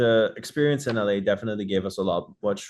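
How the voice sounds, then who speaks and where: A man with a Dutch accent, fairly low in pitch, at a fairly quick pace. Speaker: rock band vocalist. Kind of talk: interview. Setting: video call.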